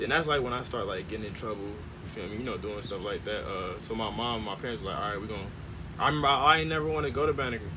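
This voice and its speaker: Lively intonation marks this man's American accent. Audible room echo sits around his voice. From Gary, Indiana, US Midwest. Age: 20s. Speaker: documentary filmmaker. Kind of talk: interview. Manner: casual, halting with fillers.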